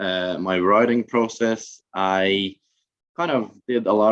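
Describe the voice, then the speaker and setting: A man with a Norwegian accent speaks with fairly even intonation. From northern Norway, Finnmark. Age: 20s. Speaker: university student. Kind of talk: student presentation. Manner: halting, many fillers.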